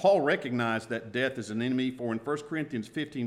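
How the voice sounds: With ordinary pitch variation, the reading voice comes across as natural.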